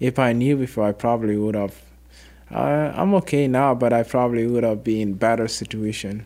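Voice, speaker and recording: A man's dark, mellow voice with an African accent and ordinary pitch variation. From Sudan. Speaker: refugee volunteer and community mentor. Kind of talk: casual interview.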